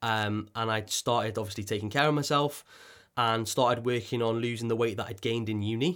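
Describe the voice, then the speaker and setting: A man with a North Welsh accent talks at a fairly quick pace and a medium pitch. His intonation is fairly even, and the recording is very clean with a silent background. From North Wales coast. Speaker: podcast host. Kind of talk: personal story monologue. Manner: halting, with frequent fillers and repetitions.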